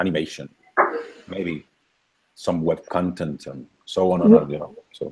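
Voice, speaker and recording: A man with a Spanish accent talks at a fairly slow pace, leaving long, frequent pauses. His loudness shifts in big swings. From Colombia, Cali. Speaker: university lecturer. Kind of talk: casual video call. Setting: video call. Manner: halting.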